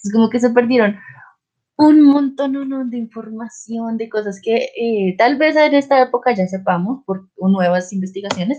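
A woman's somewhat breathy, fairly high voice with a Colombian accent. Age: 20s. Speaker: journalism student. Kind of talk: casual chat.

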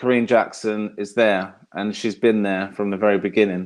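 A man's unremarkable speaking voice, fairly low in pitch, at a fairly slow pace. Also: quiet background. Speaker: podcast host. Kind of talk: casual interview chat.

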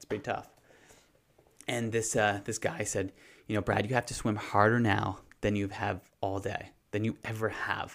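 The speaker has a Canadian Maritime accent and an animated tone, talking at a moderate pace with long, frequent pauses. The recording is very clean, with a silent background. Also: man, fairly low pitch for a man. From Nova Scotia, Canada (rural, near Windsor). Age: 30s. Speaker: entrepreneur and endurance athlete. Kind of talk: casual interview chat.

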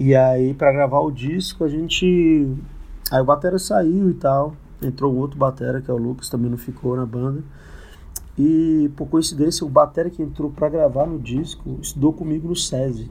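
At a moderate speed, a man talks in a somewhat breathy way with fairly even intonation. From Brasília (Ceilândia/Taguatinga). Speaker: musician. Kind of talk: interview.

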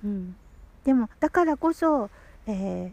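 A woman's dark, mellow tone at a very slow pace with lively intonation, in a very clean recording with a silent background. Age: 50s. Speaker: podcaster. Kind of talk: religious monologue. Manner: halting.

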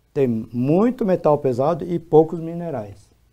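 At a very slow pace, a man speaks with a dark, mellow tone, a fairly high pitch and lively intonation. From Brazil, São Paulo state. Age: 80s+. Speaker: agronomist. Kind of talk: interview.

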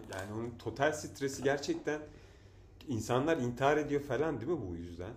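A man talking at a fairly quick pace, with audible room echo. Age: 40s. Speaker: podcast host. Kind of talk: casual chat. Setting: at home.

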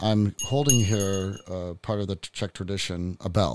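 Recorded very cleanly against a silent background, a man speaks with a dry, close sound that has no echo. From Chicago, US. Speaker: podcast host. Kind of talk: casual chat. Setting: studio.

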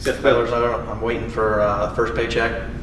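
A man with an American accent rushes through his words at a very fast pace, with audible room echo and noticeable background noise. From Kentucky. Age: 20s. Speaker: welding student, Navy veteran. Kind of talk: casual interview.

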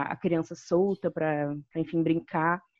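Fairly even intonation from a woman at a fairly low pitch. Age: 20s. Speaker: journalism student. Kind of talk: casual interview. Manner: hesitant, many fillers.

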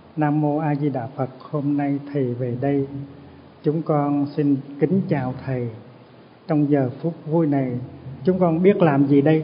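A man speaks with a fairly high pitch and fairly even intonation. Noticeable background noise runs behind him. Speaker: Buddhist monk giving a dharma talk. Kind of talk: dharma talk. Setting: temple ceremony with audience.

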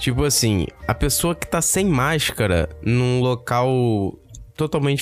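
Very slowly, a man speaks with lively intonation. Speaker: podcast co-host. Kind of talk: casual chat. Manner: animated.

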